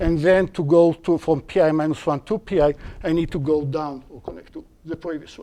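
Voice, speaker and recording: Someone with an Israeli accent speaks at a fairly quick pace. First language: Hebrew. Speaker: university lecturer. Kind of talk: lecture. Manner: halting.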